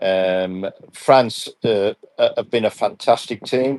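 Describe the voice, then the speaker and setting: The speaker has an English accent. The sound is dry and close, with no echo. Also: man. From England. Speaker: football referee and assessor. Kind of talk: live interview. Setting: live stream. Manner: halting.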